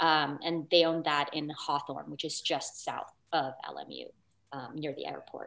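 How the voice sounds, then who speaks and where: With a Californian accent, a woman talks at a fairly slow pace in a very deep, low voice, her intonation monotone and flat and her tone marked by vocal fry. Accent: General American (California). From Los Angeles. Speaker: English professor. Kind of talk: panel talk and presentation. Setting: video call. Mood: reflective, earnest. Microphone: video call.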